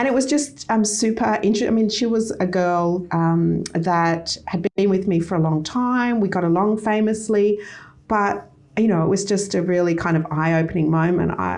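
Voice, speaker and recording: A woman speaks at a moderate pace in a medium pitch with ordinary pitch variation, very even loudness and a plain, everyday voice. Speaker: company founder. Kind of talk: interview.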